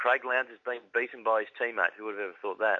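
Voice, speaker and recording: A man with a medium pitch speaks in an Australian accent. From Victoria, Australia. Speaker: motorsport commentator. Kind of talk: casual interview chat.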